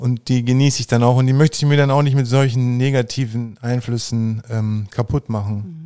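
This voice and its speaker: At a moderate pace, a man with a medium pitch and a dark, mellow tone keeps his intonation fairly even on a very clean recording with a silent background. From rural Germany, grew up on a farm. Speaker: painter. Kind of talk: casual interview.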